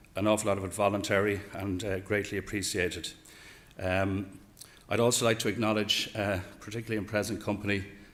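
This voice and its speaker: Speaking very fast with an Irish accent, a man keeps a monotone, flat intonation. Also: fairly low pitch for a man. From Ireland. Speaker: horse racing executive. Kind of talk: speech. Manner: hesitant, many fillers.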